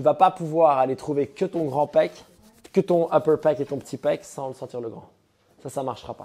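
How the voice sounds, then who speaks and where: Speaking in a strong Liège accent at a moderate pace, the voice has a dark, mellow tone and big swings in loudness. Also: man, fairly high pitch for a man, ordinary pitch variation. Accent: strong Liège Belgian French. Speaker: CrossFit coach. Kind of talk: coaching session. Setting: gym.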